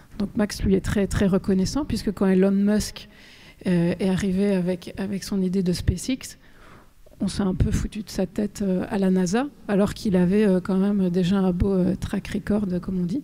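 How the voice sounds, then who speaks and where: At a medium pitch and a moderate pace, a woman speaks in a dark, mellow tone with fairly even intonation. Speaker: author. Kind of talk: talk with audience Q&A.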